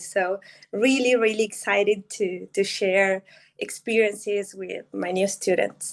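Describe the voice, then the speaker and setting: A woman with a Spanish accent at a fairly slow pace, her intonation fairly even. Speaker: Spanish teacher. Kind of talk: casual chat. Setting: video call. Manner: halting.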